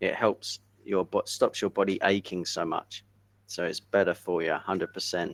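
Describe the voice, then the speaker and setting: Dry and close with no echo, a man with an English accent speaks at a moderate pace. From England. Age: 50s. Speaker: English tutor. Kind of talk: casual chat.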